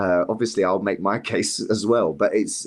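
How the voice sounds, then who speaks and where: A London accent over a quiet background. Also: man. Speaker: youth worker. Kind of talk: casual chat. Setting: podcast interview.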